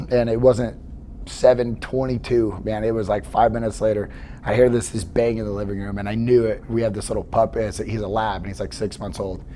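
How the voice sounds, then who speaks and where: Noticeable background noise sits under speech that moves at a fairly quick pace with fairly even intonation. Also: man, fairly low pitch for a man. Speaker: podcast host. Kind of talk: casual interview chat. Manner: casual, rambling with fillers.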